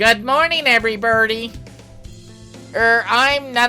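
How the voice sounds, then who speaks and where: A put-on character voice sounds nasal and moves at a fairly slow pace. Clear music plays in the background. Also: female-sounding voice, fairly high pitch for a woman. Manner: formal classroom greeting.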